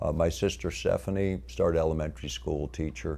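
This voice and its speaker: In a very clean recording with a silent background, a man with a very deep, low pitch speaks at a fairly quick pace in a dark, mellow tone with vocal fry. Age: 60s. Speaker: lecturer. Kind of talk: lecture. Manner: unscripted, halting with fillers.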